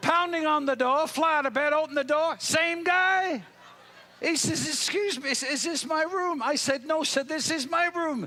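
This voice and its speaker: Speaking at a moderate pace in a raised, projected voice, the man has an extremely high pitch and ordinary pitch variation. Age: 60s. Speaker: motivational speaker. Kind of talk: keynote speech; humorous anecdote. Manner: animated.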